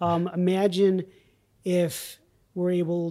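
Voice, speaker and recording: A man with a high pitch and a New England accent is heard in a very clean recording against a silent background. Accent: American (New England). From US, rural Vermont. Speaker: company CEO. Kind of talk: interview.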